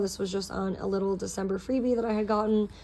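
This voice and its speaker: The woman's voice sits at a medium pitch with a dark, mellow tone. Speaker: planner hobbyist vlogger. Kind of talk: casual tutorial. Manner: fast; casual, filler-heavy.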